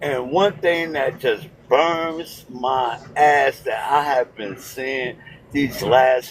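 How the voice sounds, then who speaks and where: Against noticeable background noise, a man at a medium pitch speaks very slowly with lively intonation. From United States. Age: 60s. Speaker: call-in debate participant. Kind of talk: heated debate. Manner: animated.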